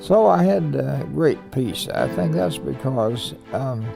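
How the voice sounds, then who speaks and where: A man with an American accent speaks at a fairly low pitch, swinging very widely up and down. Music plays in the background. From United States. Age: 80s+. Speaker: Pearl Harbor survivor, navy veteran. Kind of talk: interview answer.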